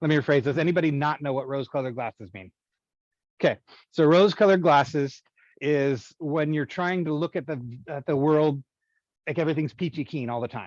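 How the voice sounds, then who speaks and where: Recorded dry and close with no echo against a quiet background, a man with a fairly high pitch and ordinary pitch variation takes long, frequent pauses. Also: fairly quick pace. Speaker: IT professional, former student of the college. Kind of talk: guest talk to college class. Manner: fast; halting, many restarts.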